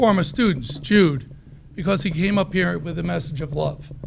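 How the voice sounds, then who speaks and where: Noticeable background noise and audible room echo fill the recording. A man with fairly high pitch talks at a fairly quick pace. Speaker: teacher speaking at public comment. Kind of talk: public comment speech. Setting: school board meeting. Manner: loud.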